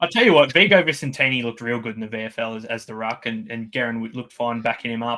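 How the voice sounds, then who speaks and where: With an Australian accent, a man speaks very fast with hardly any pauses and ordinary pitch variation. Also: medium pitch for a man, big swings in loudness. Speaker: fantasy sports podcast co-host. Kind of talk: casual chat.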